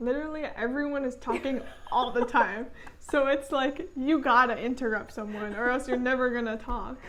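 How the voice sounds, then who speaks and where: With a high pitch and fairly even intonation, a woman talks at a moderate pace amid noticeable background noise and audible room echo. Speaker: channel co-host, student. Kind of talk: casual chat. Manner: soft-spoken.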